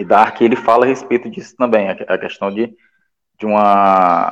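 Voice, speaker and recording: This man's intonation is monotone and flat. He talks at a medium pitch and a moderate pace. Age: 30s. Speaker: pop culture website contributor. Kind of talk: casual chat. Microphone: bad connection.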